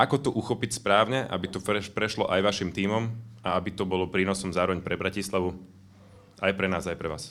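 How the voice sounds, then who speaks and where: At a fairly quick pace, a man speaks in a very deep, low pitch with fairly even intonation, recorded very cleanly with a silent background. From Bratislava, Slovakia. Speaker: youth worker, audience member. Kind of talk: question from audience.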